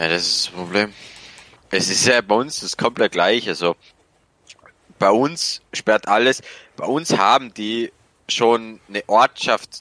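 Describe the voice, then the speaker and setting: A man with a bright, sharp tone speaks at a very slow pace with long, frequent pauses and ordinary pitch variation, the sound dry and close with no echo. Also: medium pitch for a man. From rural Austria. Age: 18. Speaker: electrician. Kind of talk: casual chat.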